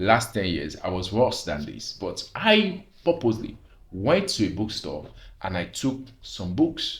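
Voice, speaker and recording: A man speaks at a moderate pace in a fairly low voice. His voice is somewhat breathy. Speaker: vlogger. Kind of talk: personal testimony monologue.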